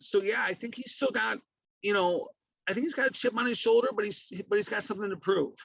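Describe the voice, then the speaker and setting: A man projects in a raised voice with a bright, sharp tone. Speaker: professional wrestling ring announcer. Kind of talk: casual podcast talk about wrestling matches.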